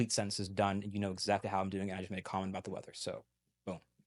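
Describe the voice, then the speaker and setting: Talking at a very fast pace, a man with a fairly low pitch sounds dry and close with no echo, against a quiet background. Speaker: language learner, multilingual podcast guest. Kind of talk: interview conversation. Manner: animated.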